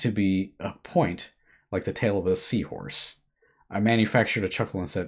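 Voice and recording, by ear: Reading aloud in a natural voice, with fairly even intonation and a quiet background.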